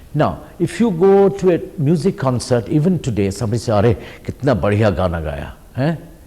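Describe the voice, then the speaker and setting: A man talks at a fairly quick pace. His pitch makes very wide swings. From India, Orissa. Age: 60s. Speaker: artist. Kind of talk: interview.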